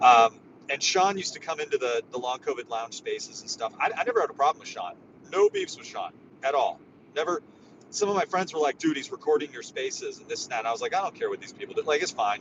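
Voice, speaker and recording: A man speaks at a very fast pace in an animated tone. His loudness swings widely. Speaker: social media space host. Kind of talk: casual chat. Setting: in a car.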